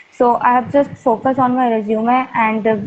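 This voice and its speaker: A woman's fairly high-pitched voice with an Indian accent, monotone and flat, at a moderate pace. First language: Hindi. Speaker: student with campus placement. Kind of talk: interview. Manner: halting, many fillers.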